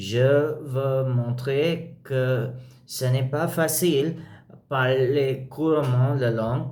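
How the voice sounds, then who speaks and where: Very slowly and with a non-native accent, a man speaks at a medium pitch in a dark, mellow, somewhat breathy tone with fairly even intonation, amid audible room echo. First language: not French (speaking French). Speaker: language learner vlogger. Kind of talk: language practice monologue. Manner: halting, many fillers.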